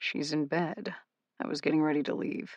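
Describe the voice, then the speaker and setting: A rumbling, put-on character voice speaks at a middle pitch and a moderate pace. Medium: read story.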